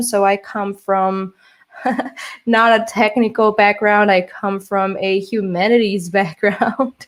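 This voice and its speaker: Speaking at a fairly slow pace, a woman with a Portuguese accent has a fairly high pitch. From Brazil. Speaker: social engineer, keynote speaker. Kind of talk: conference keynote talk. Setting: virtual conference. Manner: hesitant, many fillers.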